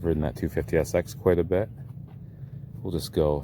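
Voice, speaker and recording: A man talks in a very deep, low voice with a relaxed tone. His intonation is lively. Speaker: vintage three-wheeler enthusiast YouTuber. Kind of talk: casual video walkthrough. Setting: outdoors at barn. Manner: relaxed, conversational with fillers.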